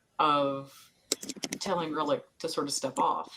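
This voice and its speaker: This woman keeps a moderate speed. She has a Southern US accent. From US South. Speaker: podcast co-host. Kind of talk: casual chat.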